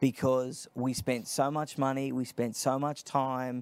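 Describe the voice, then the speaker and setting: In a very clean recording with a silent background, a man with an Australian accent talks at a moderate pace in a medium pitch. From Australia (Sydney). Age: 30s. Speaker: nonprofit founder, political commentator. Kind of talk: interview.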